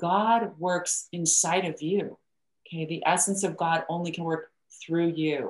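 This woman has an unremarkable speaking voice, fairly low in pitch. She talks fairly slowly with fairly even intonation. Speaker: life coach and hypnotherapist. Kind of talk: interview conversation.

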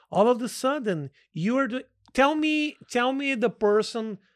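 A man with a Portuguese accent and lively intonation, in a very clean recording with a silent background. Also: dry, close sound with no echo. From Brazil. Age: 40s. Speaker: comedian. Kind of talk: casual chat.

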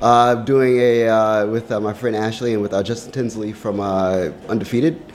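At a moderate pace, a man speaks in an ordinary speaking voice. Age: 30s. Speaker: music writer and contributor. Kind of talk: casual chat. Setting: studio.

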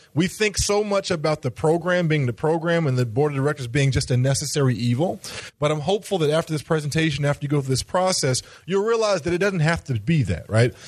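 A man talks at a very fast pace in a somewhat breathy voice, with lively intonation and very even loudness. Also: fairly high pitch for a man. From Knoxville, Tennessee. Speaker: university director. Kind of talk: interactive conference workshop.

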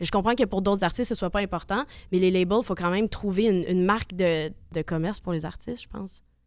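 A woman speaks at a very fast pace in a Quebec accent, with medium pitch and ordinary pitch variation. The recording is very clean, with a silent background. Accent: Québécois French. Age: 20s. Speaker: singer-songwriter. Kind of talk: casual interview.

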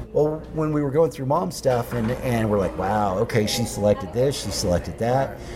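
Noticeable background noise sits behind the speaker. The voice has lively intonation and an American accent. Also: man. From Oklahoma. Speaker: podcast host and journalist. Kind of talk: casual interview conversation. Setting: coffee shop.

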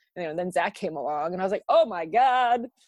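A woman with an American accent has a plain, everyday voice at a medium pitch and talks fairly quickly. The sound is dry and close with no echo, over a quiet background. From US South, South Florida. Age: 30s. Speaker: meeting planner. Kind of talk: casual chat.

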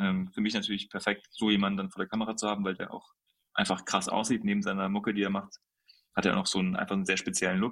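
Talking at a very fast pace, a man keeps a flat, monotone delivery at a fairly low pitch. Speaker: photographer. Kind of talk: casual chat.

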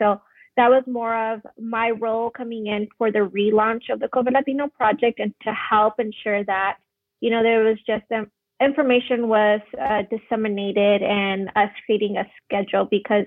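A woman with an American accent speaks in a plain, everyday voice. Her pitch is fairly high and her intonation fairly even. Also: moderate pace. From Arizona (Phoenix). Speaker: medical student. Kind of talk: interview.

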